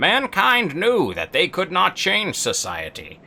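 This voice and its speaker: Using a put-on character voice, a man talks fairly slowly at a high pitch. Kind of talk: storytelling. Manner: dramatic, solemn narration.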